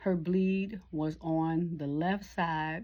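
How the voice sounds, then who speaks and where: This woman's voice is very deep and low, with fairly even intonation. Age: 60s. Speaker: caregiver and vlogger. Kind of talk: casual vlog monologue. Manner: conversational, informal.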